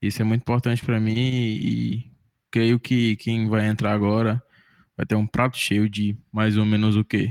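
The speech moves at a fairly slow pace with monotone, flat intonation. Its loudness stays very even. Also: man, fairly low pitch for a man, dry, close sound with no echo. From Sobral, Ceará, Brazil. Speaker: music student and podcast editor. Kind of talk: casual chat.

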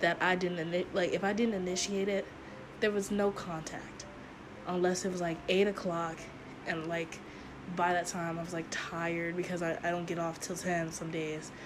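A woman speaks at a moderate pace with fairly low pitch and monotone, flat intonation. Noticeable background noise and audible room echo fill the recording. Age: 20s. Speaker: podcast host. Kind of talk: casual solo monologue.

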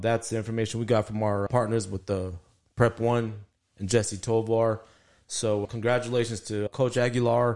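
Over a quiet background, a man with an American accent speaks at a moderate pace in a plain, everyday voice, medium in pitch with fairly even intonation. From El Paso, Texas. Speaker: sports podcast co-host, former football player. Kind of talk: casual chat.

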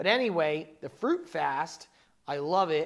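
An animated man with an American accent, fairly high-pitched, at a moderate pace. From New Jersey (south). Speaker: talk show host. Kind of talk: casual chat. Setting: studio.

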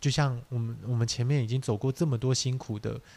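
A man with a dark, mellow tone and a somewhat breathy voice speaks at a fairly quick pace. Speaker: podcast co-host, small business owner. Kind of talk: casual chat.

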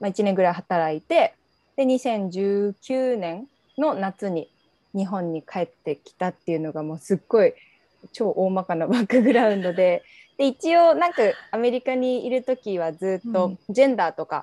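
With lively intonation and a moderate pace, a woman speaks at a medium pitch in a dark, mellow tone, the sound dry and close with no echo. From Japan, Saitama. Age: 20s. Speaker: coach for returnee youth. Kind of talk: casual interview chat.

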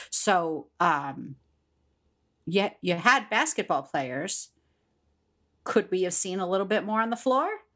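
A woman's medium-pitched voice with an American accent, very wide pitch swings, a fairly slow pace and long, frequent pauses, in a very clean recording over a silent background. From Pittsburgh, Pennsylvania. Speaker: podcast co-host, school district worker. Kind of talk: casual chat.

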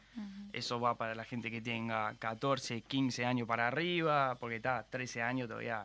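A bright, sharp tone at a moderate pace, with fairly even intonation. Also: man, medium pitch for a man. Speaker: freestyle rap commentator. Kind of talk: casual chat.

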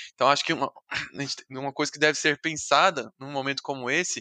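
In a very clean recording with a silent background and a dry, close sound with no echo, a man speaks in a fairly high pitch with a bright, sharp tone. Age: 20s. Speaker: software developer. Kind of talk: casual chat.

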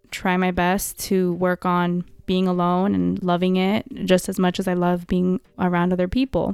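A woman speaks in a monotone, flat way at a very even loudness. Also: very clean recording, silent background. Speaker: podcast host. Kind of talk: casual solo monologue.

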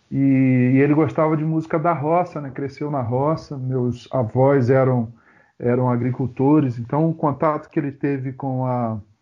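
This man has a normal speaking voice at a medium pitch. He talks at a fairly slow pace with fairly even intonation. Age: 50s. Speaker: pastor and musician. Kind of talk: casual chat.

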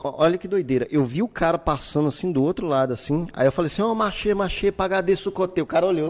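Over noticeable background noise, a high-pitched man rattles on at a very fast pace with hardly any pauses and ordinary pitch variation. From Brazil, Santa Cruz periphery. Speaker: podcast host. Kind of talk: casual chat. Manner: animated.

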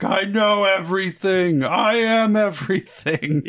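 Shouting in a put-on character voice, a man delivers high-pitched lines at a fairly slow pace over light background noise. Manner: screaming.

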